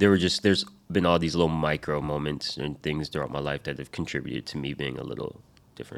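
A man with a very deep, low pitch and vocal fry speaks at a very fast pace with fairly even intonation. The recording is very clean, with a silent background. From Rhode Island. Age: 30s. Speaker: rapper. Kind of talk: casual chat.

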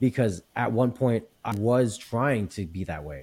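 This man speaks in a dark, mellow tone with ordinary pitch variation. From small town. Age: 30s. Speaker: podcast host. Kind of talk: casual chat.

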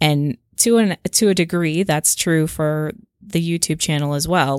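A woman with a very deep, low pitch talks in a calm tone with ordinary pitch variation, and the sound is dry and close with no echo on a very clean recording against a silent background. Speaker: podcast co-host and YouTuber. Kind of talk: casual chat.

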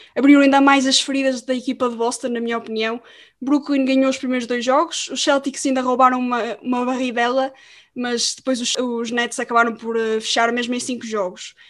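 Her high-pitched voice runs at a fairly quick pace, and the woman keeps a monotone, flat intonation throughout. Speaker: podcast host. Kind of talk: casual chat.

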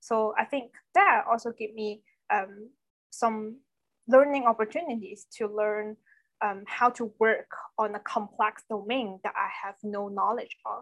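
In a Chinese accent, a woman speaks with a fairly high pitch. Her pace is fairly slow, with ordinary pitch variation. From Foshan, Guangdong, China. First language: Cantonese. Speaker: product designer. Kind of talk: casual interview. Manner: conversational, fillers.

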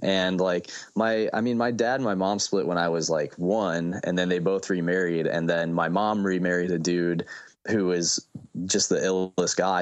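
A man with an American accent, a very deep, low pitch, fairly even intonation, very even loudness and a moderate pace. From US Midwest, Fort Wayne Indiana. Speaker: solo musician. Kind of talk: casual interview chat.

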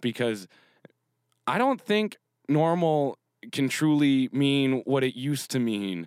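With lively intonation and fairly high pitch, a man speaks at a very slow pace with long, frequent pauses, very even loudness, and a dry, close sound with no echo. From Canada. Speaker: podcast host. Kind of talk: casual monologue.

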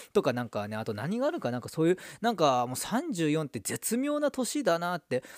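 Recorded very cleanly against a silent background with a dry, close sound and no echo, a man talks at a fairly quick pace in a high voice with very wide pitch swings. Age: 30s. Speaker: football YouTuber. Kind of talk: casual solo talk. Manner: rambling with many fillers.

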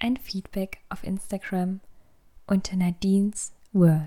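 A woman speaks very slowly at a medium pitch, somewhat breathy. Her tone is calm and soothing, dark and mellow. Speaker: podcast host and meditation guide. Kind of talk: guided meditation. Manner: slow, calm, soothing; soft-spoken, gentle, with long pauses.

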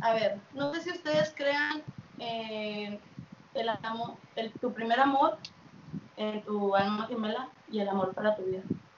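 With long, frequent pauses and noticeable background noise, a woman with a fairly high pitch and ordinary pitch variation speaks at a fairly slow pace. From Mexico, then US from age 8. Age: 20s. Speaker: youtuber. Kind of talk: casual chat.

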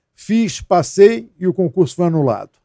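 A man with a dark, mellow tone and ordinary pitch variation, at a fairly slow pace, in a dry, close sound with no echo. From Rio de Janeiro. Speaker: federal police chief and former politician. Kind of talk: interview.

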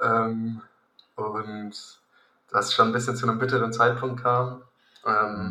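Very slowly and with long, frequent pauses, a man speaks at a medium pitch in a flat monotone. Room echo is audible. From Hesse, Germany (Königstein near Frankfurt). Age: 20s. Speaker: triathlete. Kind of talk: casual chat.

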